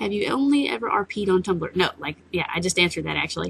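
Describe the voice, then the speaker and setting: Her voice medium in pitch, a woman talks with a Southern US accent. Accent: Southern US accent, noticeable. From US South. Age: 20s. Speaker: vlogger. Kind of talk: casual Q&A vlog. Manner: hesitant, many fillers.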